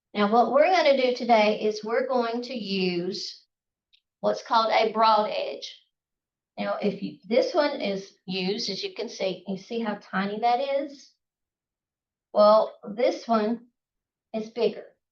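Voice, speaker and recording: A woman with a Southern US accent talks at a fairly slow pace, leaving long, frequent pauses. Her fairly high pitch shows ordinary variation. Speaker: calligraphy instructor. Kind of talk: workshop tutorial. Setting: outdoors, live class. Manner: casual.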